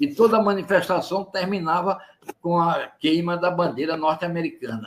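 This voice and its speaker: A man speaks at a moderate pace with a high pitch. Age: 80s. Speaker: former student activist, anti-dictatorship militant. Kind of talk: testimony. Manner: halting, with repeated words.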